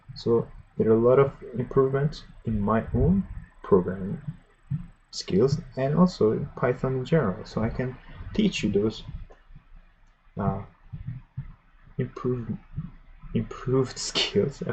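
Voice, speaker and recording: With long, frequent pauses, a man talks in lively intonation marked by vocal fry. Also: medium pitch for a man, fairly slow pace. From Iran. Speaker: programming streamer. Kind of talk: live tutorial stream. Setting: live stream. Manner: halting.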